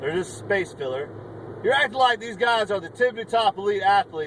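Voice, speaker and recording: A man talks at a medium speed, his intonation lively, with noticeable background noise behind him. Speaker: sports fan vlogger. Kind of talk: sports rant. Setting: in a car. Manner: stuttering; animated.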